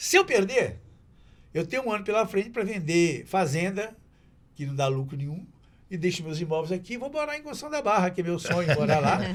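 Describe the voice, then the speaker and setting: A man speaks at a high pitch and a fairly quick pace. His pitch swings very widely. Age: 70s. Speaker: TV presenter and local politician. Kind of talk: casual chat.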